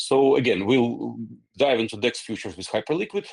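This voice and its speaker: Against a quiet background, a man with a non-native accent talks at a moderate pace with ordinary pitch variation, the sound dry and close with no echo. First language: not English. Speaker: company founder. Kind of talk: Q&A session. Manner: halting, many fillers and repetitions.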